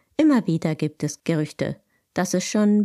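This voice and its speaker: A woman's fairly low, dark and mellow voice with lively intonation, on a very clean recording with a silent background. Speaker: podcast host. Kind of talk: solo podcast monologue.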